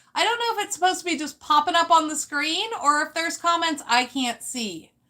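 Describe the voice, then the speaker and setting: A raised, projected voice moves at a fairly quick pace with lively intonation. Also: woman. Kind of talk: live stream talk.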